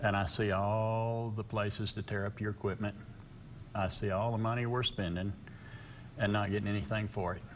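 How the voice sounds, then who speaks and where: A man speaks in a West Texas accent at a moderate pace. His pitch is fairly low and his intonation fairly even. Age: 60s. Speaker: local political candidate. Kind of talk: interview.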